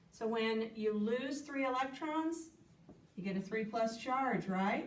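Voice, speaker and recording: Audible room echo around a woman's fairly slow speech. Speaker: science teacher. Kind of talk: tutorial.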